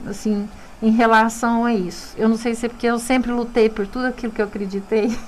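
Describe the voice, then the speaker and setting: Speaking at a fairly quick pace, a woman keeps a fairly high pitch. Her intonation is monotone and flat. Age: 60s. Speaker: dentist and university lecturer. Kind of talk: radio interview. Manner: halting, with frequent repetitions.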